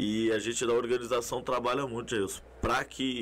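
A man's plain, everyday voice at medium pitch and a moderate pace. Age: 30s. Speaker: amateur football tournament organizer. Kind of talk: casual chat. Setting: studio.

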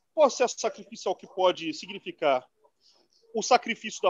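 Pitched high for a man, his speech is fairly slow with lively intonation. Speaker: political commentator. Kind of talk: political discussion.

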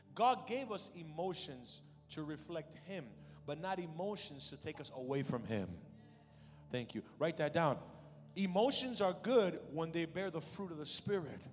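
A man at a high pitch with lively intonation and an animated tone, at a fairly slow pace, with music in the background. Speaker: preacher. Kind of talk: sermon, preacher in full flow. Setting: church with congregation, also podcast. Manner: animated, urgent call-and-response; emphatic, commanding, rhythmic repetition.

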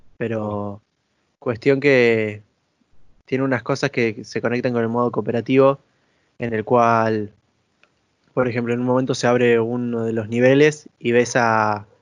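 Fairly even intonation from a man at a medium pitch and a moderate pace. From Argentina. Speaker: video game podcast co-host. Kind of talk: casual chat.

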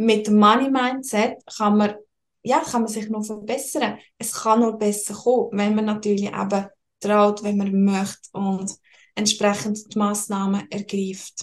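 At a fairly slow pace, a woman speaks in an ordinary speaking voice pitched fairly high. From Switzerland, Lucerne. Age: 20s. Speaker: financial and tax consultant. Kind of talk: interview.

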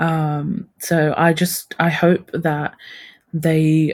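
A woman's very deep, low voice, somewhat breathy, in a flat monotone. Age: 20s. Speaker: podcast guest sharing life as eldest daughter. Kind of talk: casual chat. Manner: halting, many fillers.

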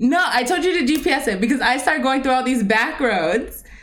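Audible room echo surrounds a woman's high-pitched voice. She talks at a moderate pace with lively intonation. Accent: American. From US West, Las Vegas. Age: 20s. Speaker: podcast co-host. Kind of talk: casual chat.

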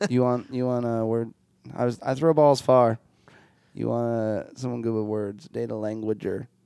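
A man with a dark, mellow tone and medium pitch talks at a moderate pace with fairly even intonation. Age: 30s. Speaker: rock band drummer. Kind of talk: casual chat.

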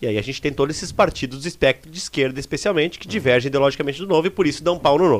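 At a very fast pace with hardly any pauses, a man talks in a fairly high voice, with ordinary pitch variation and big swings in loudness. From southern Brazil, Serra Gaúcha (Rio Grande do Sul). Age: 30s. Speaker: city councillor. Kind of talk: casual interview chat. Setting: live studio stream.

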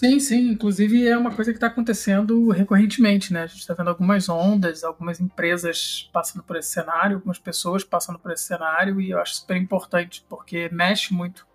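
A man speaks at a very fast pace in a high pitch. His intonation stays fairly even. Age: 40s. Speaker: podcast host. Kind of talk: casual chat.

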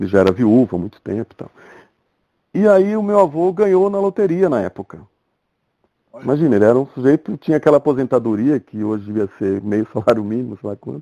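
A man speaks at a medium pitch and a fairly quick pace, his dark, mellow tone swinging very widely in pitch and heavily in loudness, with long, frequent pauses in a dry, close sound that has no echo. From Brazil, interior of São Paulo state (Ribeirão Preto area). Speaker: architect and furniture designer. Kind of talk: casual interview. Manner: halting, with frequent repetitions.

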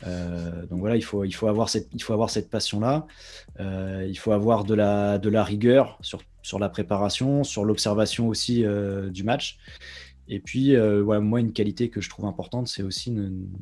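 Low-ish and dark, mellow in tone, a man's voice moves at a moderate pace with fairly even intonation on a very clean recording with a silent background. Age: 30s. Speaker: football commentator. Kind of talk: interview. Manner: halting, frequent repetitions.

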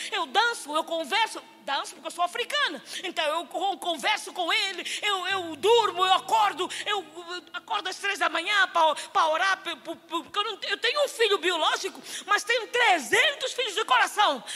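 A woman projects her voice at an extremely high pitch. Her tone is bright and sharp, with lively intonation. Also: moderate pace. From Angola. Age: 50s. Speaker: missionary preacher. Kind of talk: sermon. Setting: church stage with congregation.

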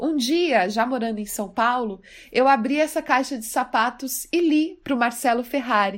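A woman speaks in a high pitch with lively intonation at a moderate pace. The recording is very clean, with a silent background. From Brazil, Mato Grosso do Sul. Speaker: poet. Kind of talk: personal storytelling.

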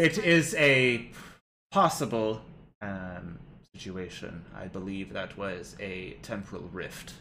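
Using a raspy, put-on character voice with fairly low pitch, a man speaks fairly slowly with long, frequent pauses. Audible echo surrounds his voice. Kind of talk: clipped machine speech. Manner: formal, stiff, polite.

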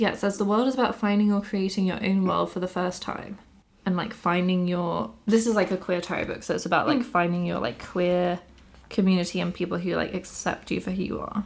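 A woman with a southern English accent talks at a fairly quick pace. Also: medium pitch for a woman, ordinary pitch variation. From Bath, England. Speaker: podcast host. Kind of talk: casual chat.

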